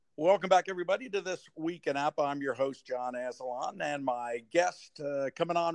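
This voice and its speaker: A man with an American accent speaks in a normal speaking voice at a fairly high pitch and a moderate pace, the sound dry and close with no echo. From Cincinnati, Ohio. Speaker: podcast host. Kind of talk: casual interview chat.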